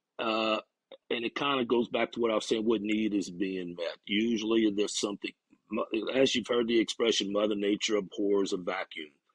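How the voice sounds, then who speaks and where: A man with a Louisiana accent, fairly low in pitch, at a fairly quick pace with fairly even intonation, in a dry, close sound with no echo. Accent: Bayou. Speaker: recovery counselor. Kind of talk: casual interview.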